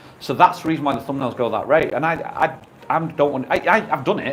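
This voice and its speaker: A man with a fairly high pitch and ordinary pitch variation talks at a very fast pace amid noticeable background noise. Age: 50s. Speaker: YouTuber. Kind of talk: radio interview. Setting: radio studio.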